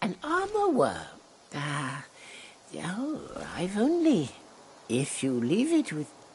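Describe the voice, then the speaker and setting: In a put-on character voice at a middle pitch, the speaker talks at a very slow pace with long, frequent pauses. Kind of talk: game character voice acting. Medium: video game.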